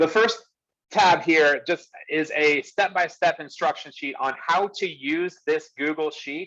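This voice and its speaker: Loud and fairly high in pitch, a man speaks in a bright, sharp tone with ordinary pitch variation. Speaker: real estate business coach. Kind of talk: online workshop presentation. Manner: animated.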